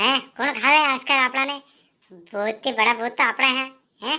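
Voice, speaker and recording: A woman does a cartoonish character voice at a high pitch and moderate pace. Her intonation stays fairly even against a quiet background. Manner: boastful, rustic.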